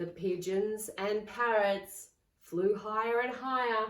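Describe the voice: A woman speaks at a slow pace with medium pitch and ordinary pitch variation. Audible room echo surrounds her voice.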